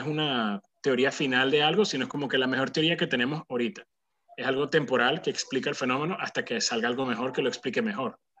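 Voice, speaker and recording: This man talks at a very fast pace in a fairly high pitch. His tone is bright and sharp, with ordinary pitch variation. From Venezuela. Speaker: physician, pulmonologist. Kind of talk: casual conversation. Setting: video call. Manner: hesitant, many fillers.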